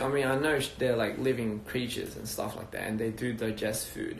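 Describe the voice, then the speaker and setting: In a room with audible echo, a man talks in a relaxed tone at a medium pitch, his intonation fairly even. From Australia (Wollongong, NSW). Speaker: music label founder. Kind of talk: casual livestream chat. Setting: Instagram live video stream. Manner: relaxed, hesitant with fillers.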